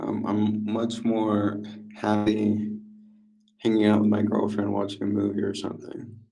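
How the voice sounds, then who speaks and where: Amid audible room echo, a man with a dark, mellow tone and a fairly low pitch speaks fairly slowly in a monotone, flat intonation. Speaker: crypto chat participant. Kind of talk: casual chat. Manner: sleepy, flat delivery.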